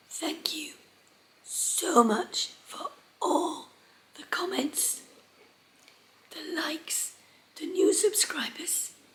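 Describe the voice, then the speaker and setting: Her voice is extremely high for a woman. She talks at a very slow pace with long, frequent pauses. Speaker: sewing vlogger. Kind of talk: casual talk to camera.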